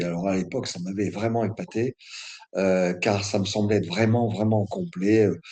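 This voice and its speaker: With ordinary pitch variation, a man speaks in a fairly low voice. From northern France. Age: 60s. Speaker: martial arts instructor. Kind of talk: interview. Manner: hesitant, many fillers.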